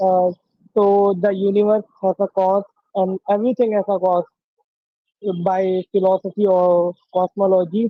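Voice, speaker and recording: The speaker talks at a very slow pace in an Indian accent. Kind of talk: debate. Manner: halting. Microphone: poor audio quality.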